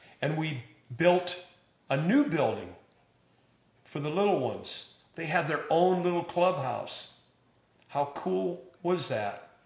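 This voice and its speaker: Speaking at a very slow pace with long, frequent pauses, a man uses a high pitch with ordinary pitch variation, and audible room echo is present. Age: 70s. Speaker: pastor. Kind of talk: church announcement address. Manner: warm, enthusiastic.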